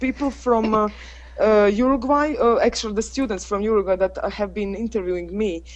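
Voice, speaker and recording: Speaking at a moderate pace, a woman talks with a Croatian accent. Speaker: English teacher. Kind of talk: casual group chat. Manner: halting.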